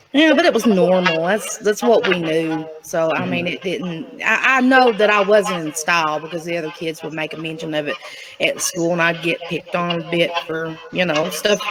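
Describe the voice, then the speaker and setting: With a strong Southern Appalachian accent, a woman talks at a fairly low pitch and a moderate pace, with ordinary pitch variation and hardly any pauses, against noticeable background noise. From eastern Tennessee (Appalachia). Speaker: guest telling life story. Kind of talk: interview, life story. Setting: TV show studio.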